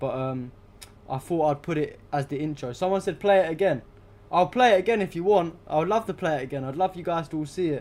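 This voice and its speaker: With a British accent, a man speaks very fast in a dark, mellow tone at a fairly high pitch. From UK. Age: 20s. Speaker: political livestreamer. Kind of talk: casual livestream chat. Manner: casual, filler-heavy.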